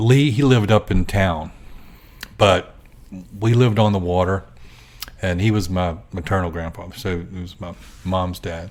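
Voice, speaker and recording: This man has a very deep, low pitch and an American accent. He leaves long, frequent pauses. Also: ordinary pitch variation, moderate pace, big swings in loudness. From US South, Gloucester County, Virginia. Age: 60s. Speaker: artist and photographer. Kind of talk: interview.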